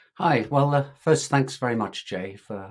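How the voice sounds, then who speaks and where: Here a man speaks with an English accent. He keeps a moderate pace. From England. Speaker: tech startup founder. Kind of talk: interview podcast conversation.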